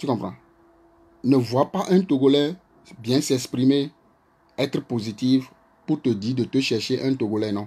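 The speech moves at a fairly slow pace with long, frequent pauses and ordinary pitch variation. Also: man, medium pitch for a man. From Togo. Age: 40s. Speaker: social media live streamer. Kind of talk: live stream monologue. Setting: Facebook live video. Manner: animated. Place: home room. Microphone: phone near.

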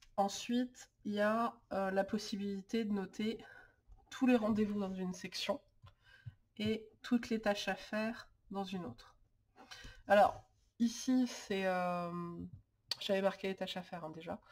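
A somewhat breathy woman's voice at medium pitch, fairly slow and fairly even in intonation, broken by long, frequent pauses. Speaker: lifestyle YouTuber on planning and organization. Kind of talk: tutorial. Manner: hesitant, many filler sounds.

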